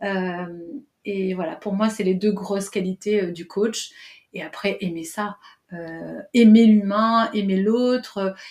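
A woman speaks very slowly at a medium pitch with fairly even intonation. Her loudness swings widely. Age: 40s. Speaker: coach and trainer. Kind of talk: interview.

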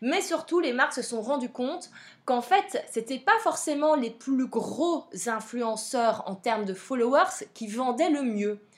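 In a Belgian accent, a woman speaks at a very slow pace in a high voice with lively intonation. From Belgium. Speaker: podcast host, social media coach. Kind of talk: solo podcast monologue. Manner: casual, frequent fillers.

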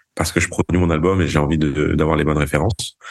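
A man talks at a very fast pace. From Paris, France and Galicia, Spain. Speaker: drummer and producer. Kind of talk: interview. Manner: halting.

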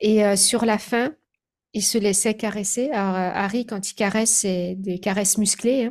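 A woman's voice on a very clean recording against a silent background. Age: 40s. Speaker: animal communicator. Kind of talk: interview.

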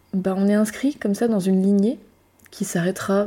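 Somewhat breathy and dark, mellow in tone, a woman speaks at a fairly slow pace with fairly even intonation on a very clean recording with a silent background. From Brittany, France. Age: 30s. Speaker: perinatal support practitioner and podcast host. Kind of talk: solo reflective monologue. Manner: hesitant, with fillers and repetitions.

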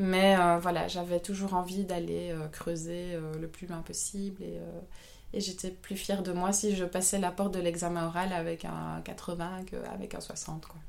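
The speech is fairly slow and monotone, with flat intonation, big swings in loudness and audible room echo. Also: woman, fairly low pitch for a woman. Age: 30s. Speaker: photographer. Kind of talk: interview. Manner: hesitant, many fillers.

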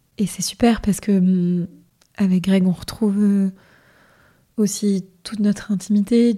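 A woman speaks at a very slow pace in a flat, monotone delivery, her dark, mellow tone somewhat breathy. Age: 30s. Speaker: hotel finance worker and illness survivor. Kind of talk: testimony. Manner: hesitant, casual.

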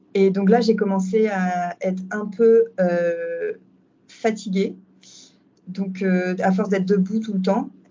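At a very slow pace with long, frequent pauses, a woman talks in a somewhat breathy, monotone, flat voice of medium pitch. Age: 30s. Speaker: doula. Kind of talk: testimony. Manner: halting.

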